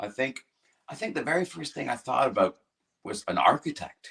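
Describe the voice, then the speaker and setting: This man speaks with a Canadian accent, his voice showing vocal fry and very wide pitch swings. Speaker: rock singer and guitarist. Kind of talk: interview.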